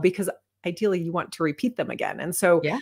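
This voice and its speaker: A woman talks at a very fast pace. Her pitch varies in an ordinary way over a quiet background. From United States. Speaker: retired fighter pilot and author. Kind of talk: interview. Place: home room.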